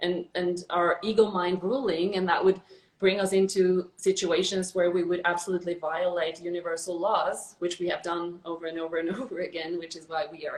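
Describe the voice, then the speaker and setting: A woman with a fairly low voice speaks fairly quickly in a flat monotone. Her loudness swings widely. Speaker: spiritual channeler. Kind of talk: casual conversation. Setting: live video stream.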